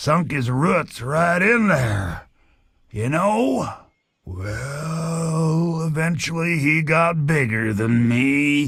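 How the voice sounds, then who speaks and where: Putting on a character voice, a man speaks at a very slow pace with a fairly high pitch. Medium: video game. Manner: rambling, wry.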